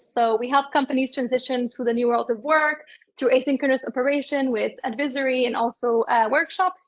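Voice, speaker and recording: A woman talks at a fairly quick pace in a high voice. Her intonation is fairly even, and she speaks with a French accent. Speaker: business founder and consultant. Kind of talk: panel discussion.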